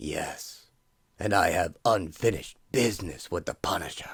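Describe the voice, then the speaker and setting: Putting on a raspy character voice, a man speaks at a fairly low pitch and a moderate pace in a very clean recording with a silent background. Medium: audio drama. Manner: clipped, stern.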